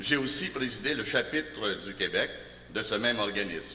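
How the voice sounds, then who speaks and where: Noticeable noise fills the background. Over it, a man's intonation stays lively. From Montreal, Quebec. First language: Italian (speaking French). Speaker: political candidate. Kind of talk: campaign speech.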